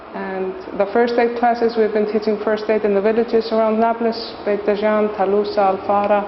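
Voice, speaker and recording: Over noticeable background noise, a woman talks at a fairly quick pace with a fairly high pitch and monotone, flat intonation. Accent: Icelandic. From Iceland. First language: Icelandic. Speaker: volunteer teacher. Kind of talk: interview. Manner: halting.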